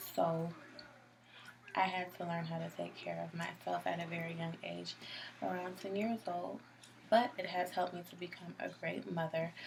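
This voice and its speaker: With noticeable background noise behind her, a woman talks at a moderate pace. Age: 20s. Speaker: community college student. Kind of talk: video self-introduction. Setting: self-recorded video at home. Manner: hesitant, many ums.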